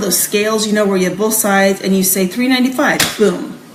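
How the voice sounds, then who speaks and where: A woman with a medium pitch speaks at a fairly quick pace with lively intonation. Audible room echo and noticeable background noise are present. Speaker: direct sales trainer. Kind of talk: sales training talk. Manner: fast.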